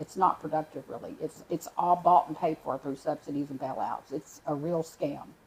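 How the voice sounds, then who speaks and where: A woman with a very deep, low pitch speaks at a moderate pace with fairly even intonation and hardly any pauses, her loudness swinging widely. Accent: Texan. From Texas. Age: 60s. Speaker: animal sanctuary founder. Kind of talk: interview. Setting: studio.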